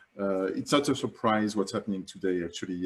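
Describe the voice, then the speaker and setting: In a French accent, a man with a fairly low voice speaks with ordinary pitch variation. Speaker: climate campaigner. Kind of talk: online summit presentation. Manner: halting.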